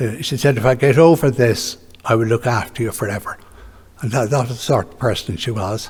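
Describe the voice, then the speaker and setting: This is a man with an Irish accent. He talks at a fairly quick pace. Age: 80s+. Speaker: retired orthopaedic surgeon. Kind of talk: memorial lecture.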